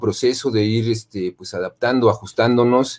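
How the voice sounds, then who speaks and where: Fairly even intonation from a man at medium pitch and a moderate pace. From Mexico. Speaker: university lecturer in design. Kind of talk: conference presentation. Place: home room.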